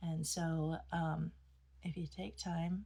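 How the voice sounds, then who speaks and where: A woman with a fairly low pitch and a somewhat breathy voice speaks at a very slow pace with fairly even intonation. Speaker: women's Bible study teacher. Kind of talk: devotional Bible teaching. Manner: halting, many fillers.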